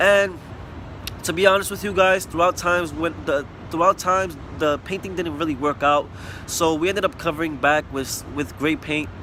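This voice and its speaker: Against noticeable background noise, a man with a New York accent and a high pitch speaks at a moderate pace with ordinary pitch variation. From New York City (Bronx), US. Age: 20s. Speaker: student testimonial giver, painter. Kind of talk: testimonial. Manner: casual, slightly halting.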